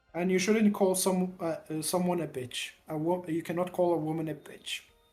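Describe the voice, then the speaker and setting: Music plays in the background. The speech keeps a moderate pace. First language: Arabic. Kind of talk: casual chat. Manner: halting.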